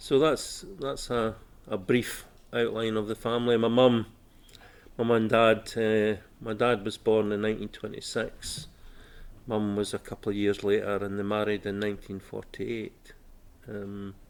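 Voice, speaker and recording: In a Scottish accent, a man talks at a moderate pace with a fairly low pitch. His intonation is fairly even, and the recording is very clean with a silent background. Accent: Scottish (Fife). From Scotland, Fife (Inverkeithing). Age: 60s. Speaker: oral history interviewee. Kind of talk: interview. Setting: civic centre room. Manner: hesitant, many fillers.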